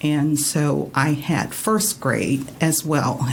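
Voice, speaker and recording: A woman with an American accent speaks at a very deep, low pitch with ordinary pitch variation. Noticeable background noise and audible room echo are present. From Florida, Miami. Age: 70s. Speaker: retired teacher. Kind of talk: radio interview. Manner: hesitant, many fillers.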